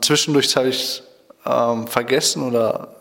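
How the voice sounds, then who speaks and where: A man's medium-pitched voice at a moderate pace, amid noticeable background noise. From Germany, Schloss Holte (Westphalia). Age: 20s. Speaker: Bible school student. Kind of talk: radio interview. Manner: hesitant, many fillers.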